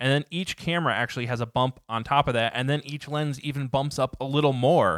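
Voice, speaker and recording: Hardly pausing, a man with an unremarkable speaking voice and a fairly high pitch talks at a fairly quick pace with ordinary pitch variation. The sound is dry and close with no echo, and the recording is very clean against a silent background. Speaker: podcast co-host. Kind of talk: casual tech podcast chat and news reading.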